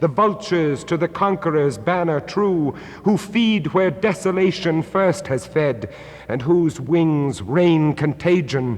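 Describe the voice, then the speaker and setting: Noticeable background noise sits behind a man with a high-pitched voice. He talks at a very slow pace with ordinary pitch variation. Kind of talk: poetry reading.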